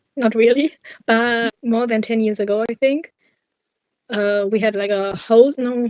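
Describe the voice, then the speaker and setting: In a German accent, a woman with a fairly high pitch speaks at a fairly slow pace with fairly even intonation and long, frequent pauses. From Germany, Cologne. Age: 20s. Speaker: university student. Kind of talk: interview.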